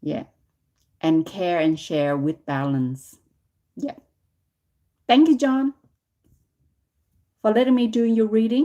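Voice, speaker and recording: A loud woman's voice, fairly high-pitched and dark, mellow in tone, with very wide pitch swings, a very slow pace and long, frequent pauses. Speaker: tarot reader. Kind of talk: live stream tarot reading.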